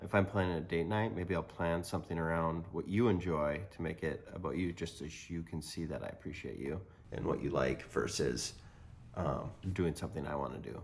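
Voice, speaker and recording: Vocal fry runs through a man's very deep, low voice as he talks at a fairly quick pace with ordinary pitch variation. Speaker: podcast co-host, married to co-host. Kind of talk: casual chat. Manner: loud.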